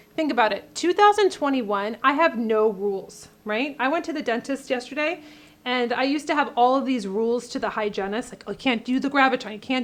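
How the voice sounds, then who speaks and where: A woman's animated, high-pitched voice at a fairly quick pace, with ordinary pitch variation. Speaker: beauty vlogger and cosmetics brand owner. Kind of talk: makeup tutorial with casual chat. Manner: chatty, animated.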